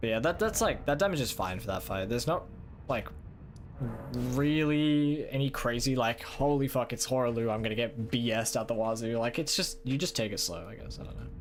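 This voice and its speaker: With an Australian accent, a man talks at a medium pitch and a fairly quick pace. His pitch variation is ordinary, and there is noticeable background noise. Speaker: gaming streamer. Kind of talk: live gameplay stream chat. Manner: casual, halting with many fillers.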